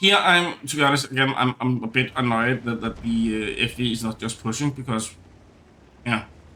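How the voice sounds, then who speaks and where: A man with a Danish accent speaks at medium pitch and a moderate pace, with ordinary pitch variation. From Denmark. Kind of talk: gameplay commentary. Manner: stuttering, hesitant.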